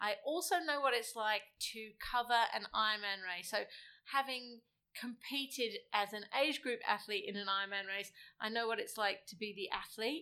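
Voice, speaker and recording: A woman with an English accent has a bright, sharp tone and fairly high pitch. Her pace is moderate, with ordinary pitch variation. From England. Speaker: interviewer. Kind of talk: casual chat. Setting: home.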